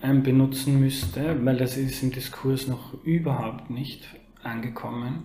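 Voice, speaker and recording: At a very slow pace, a man speaks at medium pitch in a flat monotone. Room echo is audible, along with noticeable background noise. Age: 30s. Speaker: journalist. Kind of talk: interview.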